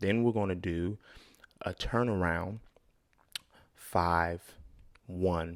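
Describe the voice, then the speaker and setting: Speaking at a very slow pace, a man with a very deep, low voice keeps his intonation fairly even. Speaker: music producer and tutorial youtuber. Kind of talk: tutorial. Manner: casual, conversational.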